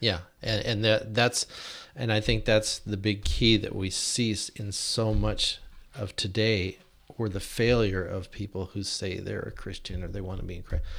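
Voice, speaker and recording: A man with an American accent speaks at a fairly low pitch, with vocal fry and fairly even intonation. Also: moderate pace. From Washington State, US (Yakima). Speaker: church deacon. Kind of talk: casual chat.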